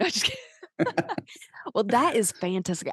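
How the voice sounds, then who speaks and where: A woman's medium-pitched voice in a Southern US accent, with a dry, close sound and no echo. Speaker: podcast host and singer-songwriter. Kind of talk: interview.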